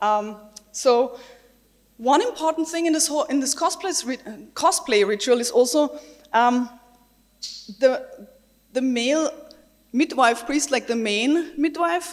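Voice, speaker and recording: A woman with a German accent speaks at a fairly slow pace in a high pitch. Her intonation is lively, broken by long, frequent pauses. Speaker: games researcher and designer. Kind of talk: conference talk.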